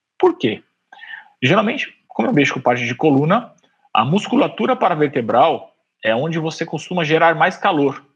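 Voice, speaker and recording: Fairly high-pitched with lively intonation, a man with an unremarkable speaking voice talks at a moderate pace. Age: 40s. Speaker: orthopedic surgeon. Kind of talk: casual chat.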